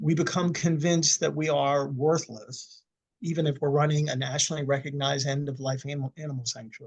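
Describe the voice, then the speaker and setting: A fairly high-pitched, somewhat breathy man at a fairly quick pace, with fairly even intonation. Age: 60s. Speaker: suicide attempt survivor and speaker. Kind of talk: interview conversation. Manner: halting, frequent repetitions.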